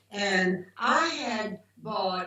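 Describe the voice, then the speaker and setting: Over noticeable background noise, a woman with a Southern US accent speaks at a medium pitch. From US South. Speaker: macrobiotics doctor. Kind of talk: interview storytelling.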